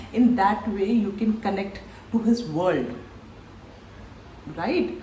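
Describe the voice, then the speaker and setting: A woman at a fairly slow pace, amid noticeable background noise and audible room echo. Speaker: recruiter and career coach. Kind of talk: tutorial.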